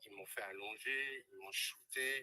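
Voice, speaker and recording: The speaker is a man. His voice comes across dry and close, without any echo. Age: 60s. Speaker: testimony giver, former clinic director. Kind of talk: testimony. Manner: hesitant, with fillers.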